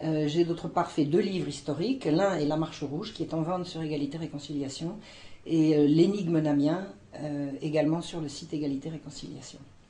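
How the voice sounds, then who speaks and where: A woman speaks at a very deep, low pitch with a dark, mellow tone. Her voice is somewhat breathy and her pace fairly quick. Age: 60s. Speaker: historian. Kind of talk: testimony. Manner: halting, many hesitations.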